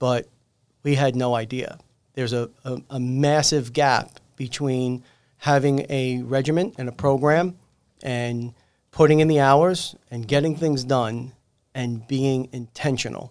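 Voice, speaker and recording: At a fairly slow pace, a man talks in a normal speaking voice. His pitch is medium and his intonation fairly even. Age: 40s. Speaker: podcast host. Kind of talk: interview.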